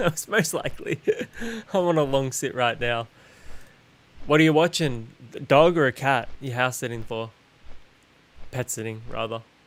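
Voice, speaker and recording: A man with a General Australian accent, medium pitch, ordinary pitch variation, a moderate pace and long, frequent pauses. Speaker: gaming streamer. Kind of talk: casual live-stream chat. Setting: live stream while gaming.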